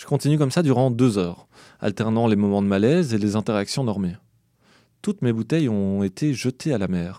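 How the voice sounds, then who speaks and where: A man's dark, mellow tone, fairly quick and lively in intonation, on a very clean recording with a silent background. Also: medium pitch for a man. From Belgium. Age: 30s. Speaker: podcast narrator. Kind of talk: scripted narration.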